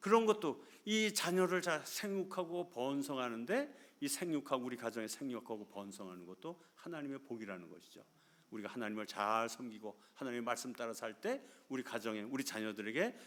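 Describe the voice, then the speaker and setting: Speaking at a moderate pace, a man with medium pitch shows very wide pitch swings and big swings in loudness. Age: 60s. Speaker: missionary preacher. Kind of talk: sermon. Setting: church.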